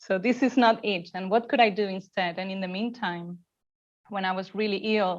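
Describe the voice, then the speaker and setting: In a non-native accent, a woman speaks at medium pitch and a moderate pace with fairly even intonation. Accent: foreign. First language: not English. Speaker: mindfulness and yoga teacher, former academic. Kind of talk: casual interview.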